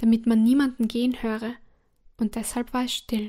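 High-pitched woman's voice, soothing and dark and mellow in tone, monotone and flat, on a very clean recording with a silent background. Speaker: storyteller reading a fairy tale aloud. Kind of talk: bedtime story narration, gentle and calming fairy-tale reading. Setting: audio recording for listeners at bedtime. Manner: slow, soft-spoken, soothing and unhurried.

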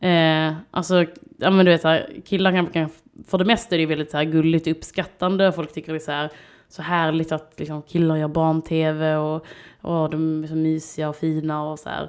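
A woman speaks at a moderate pace with a Scanian accent. Her pitch is very deep and low, and her intonation is monotone and flat. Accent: Skåne dialect. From southern Sweden (Skåne). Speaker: artist and children's TV presenter. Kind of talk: casual chat.

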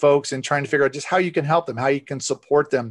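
A man with a fairly high-pitched voice. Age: 40s. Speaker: nonprofit director and mental health advocate. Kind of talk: interview. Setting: video call.

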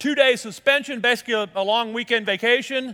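A man speaks with an American accent. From Colorado. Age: 50s. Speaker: pastor. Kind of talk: sermon.

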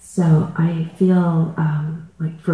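Noticeable background noise under a man's monotone, flat intonation. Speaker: participant. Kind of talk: personal sharing in group session. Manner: laughing.

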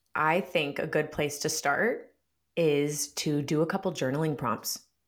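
A woman's very deep, low voice with fairly even intonation. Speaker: somatic therapist. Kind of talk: casual chat. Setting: video call. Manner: gentle, guiding.

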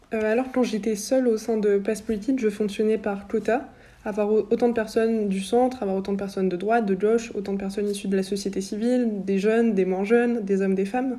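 With a dark, mellow tone, the voice keeps a monotone, flat intonation at a fairly quick pace with hardly any pauses. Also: woman, fairly high pitch for a woman. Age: 20s. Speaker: founder of a youth political media outlet and author. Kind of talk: interview.

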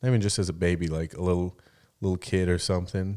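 On a very clean recording with a silent background, a man speaks in a very deep, low voice with a dark, mellow tone. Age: 30s. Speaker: podcast host. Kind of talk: casual chat; reading aloud.

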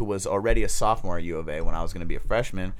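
In an American accent, a man talks at a very fast pace, with audible room echo around him. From Oakland, California. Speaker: recovering addict, former rapper, detox technician. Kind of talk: testimony. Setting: studio.

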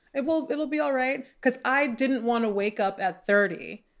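A woman speaks in a normal speaking voice at a moderate pace, with ordinary pitch variation. The recording is very clean, the background silent. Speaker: podcast host. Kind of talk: casual interview chat. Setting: recording from a closet at home.

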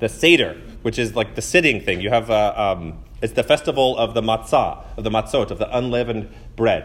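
Pitched at a medium level, a man talks at a fairly quick pace with vocal fry. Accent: American. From Texas, College Station. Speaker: Methodist pastor. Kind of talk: sermon.

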